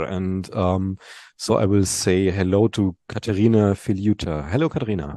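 A man with a German accent at a moderate pace, in a dry, close sound with no echo and a quiet background. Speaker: podcast host. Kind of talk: interview. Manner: hesitant.

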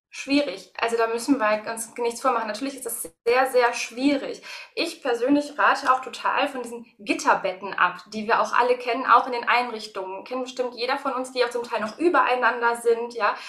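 A high-pitched woman talks at a moderate tempo with ordinary pitch variation while noticeable noise runs in the background. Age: 30s. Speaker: early childhood educator. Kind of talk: interview.

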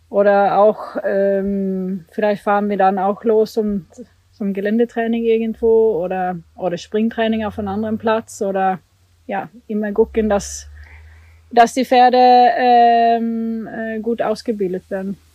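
Here a woman talks in a Swedish accent. Her pitch is fairly high and her pace fairly slow. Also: fairly even intonation. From Sweden. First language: Swedish (speaking German). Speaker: Olympic eventing rider. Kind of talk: casual interview. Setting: at the family farm. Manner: hesitant, many fillers.

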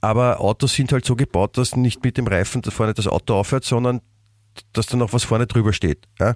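This man has an unremarkable speaking voice, medium in pitch, moving at a fairly quick pace with fairly even intonation. The sound is dry and close with no echo, and the loudness stays very even. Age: 50s. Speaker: podcast co-host. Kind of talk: casual chat.

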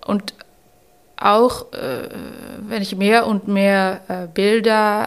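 Against a silent background in a very clean recording, a woman with a Dutch accent speaks at medium pitch in a monotone, flat intonation. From Netherlands, Rotterdam. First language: Dutch (speaking German). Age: 30s. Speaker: novelist. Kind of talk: interview. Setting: embassy room.

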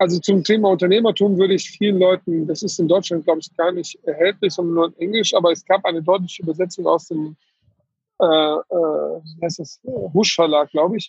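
A man speaks with a high pitch and fairly even intonation. His pace is moderate. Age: 40s. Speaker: tax advisor, firm owner. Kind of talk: casual interview.

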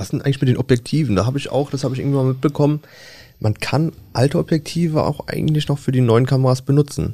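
On a very clean recording with a silent background, a man with a fairly high pitch talks at a very fast pace, his somewhat breathy voice dark and mellow in tone and his intonation fairly even. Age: 20s. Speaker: press photographer, podcast co-host. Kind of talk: casual chat.

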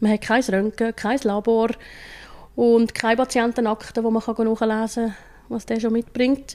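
The voice has a dark, mellow tone and flat, monotone intonation, moving at a fairly slow pace. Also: woman. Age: 40s. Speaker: paramedic. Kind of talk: interview. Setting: ambulance station.

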